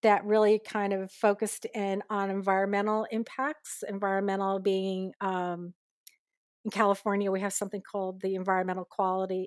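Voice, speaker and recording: Moderate-paced speech in a normal speaking voice from a woman of medium pitch with an American accent, the sound dry and close with no echo on a very clean recording with a silent background. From New York, lower Hudson Valley. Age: 60s. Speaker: urban revitalization consultant and tour guide. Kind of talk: interview.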